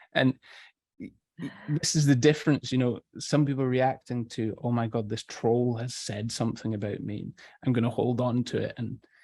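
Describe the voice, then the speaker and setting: A soft-spoken voice with a dark, mellow tone at a moderate pace, in a dry, close recording with no echo over a quiet background. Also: man. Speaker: storytelling and voice coach. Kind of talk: interview.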